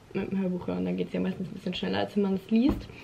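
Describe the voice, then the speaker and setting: The speaker is a woman. There is noticeable noise behind her. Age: 20s. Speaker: vlogger and university student; vlogger. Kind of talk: casual vlog monologue. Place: home room. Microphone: phone near.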